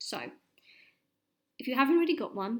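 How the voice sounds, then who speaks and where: A woman speaks in an English accent. Her pitch swings very widely. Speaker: science teacher. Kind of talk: lesson. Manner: fast.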